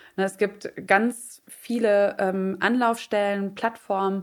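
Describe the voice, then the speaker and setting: A woman speaks at a medium pitch with fairly even intonation, in an unremarkable speaking voice. The recording is very clean, with a silent background. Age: 30s. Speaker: freelance journalist and podcaster. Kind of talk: casual chat.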